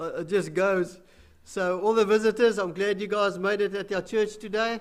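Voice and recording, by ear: A man speaks at a moderate pace in a high pitch. His intonation is fairly even.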